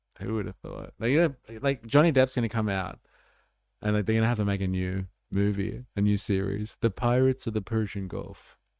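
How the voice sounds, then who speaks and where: Someone speaks with an Australian accent at a fairly quick pace and ordinary pitch variation. The recording is very clean, with a silent background. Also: man, fairly low pitch for a man. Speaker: political livestreamer. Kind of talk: casual livestream commentary. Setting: livestream. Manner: animated.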